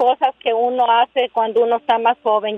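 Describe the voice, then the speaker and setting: A woman with a high pitch talks at a fairly slow pace. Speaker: caller. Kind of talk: emotional plea, call. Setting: phone call.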